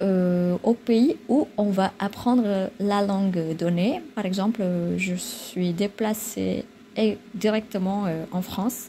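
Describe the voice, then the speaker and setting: A woman with an Indonesian accent at a very slow pace, over noticeable background noise. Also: medium pitch for a woman, ordinary pitch variation. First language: Indonesian (speaking French). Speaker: vlogger. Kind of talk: casual vlog talk. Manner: halting, many filler sounds.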